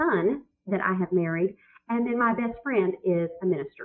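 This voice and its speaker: A woman speaks with a Southern accent. Her pace is moderate. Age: 40s. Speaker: business consultant and author. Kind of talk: webinar chat. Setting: online webinar. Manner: animated.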